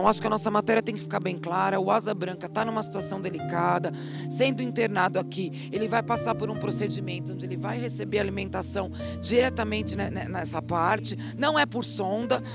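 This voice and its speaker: Clear music plays behind a woman talking at a fairly quick pace. The sound is dry, with no echo. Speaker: TV reporter. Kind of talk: TV news report. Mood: serious, concerned. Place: street. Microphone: handheld.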